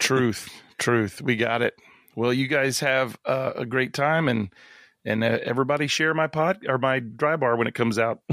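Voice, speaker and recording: An unremarkable speaking voice from a man at medium pitch and moderate pace, with ordinary pitch variation and very even loudness, in a dry, close sound with no echo on a very clean recording with a silent background. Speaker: comedian and pastor. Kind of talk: casual chat. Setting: podcast interview.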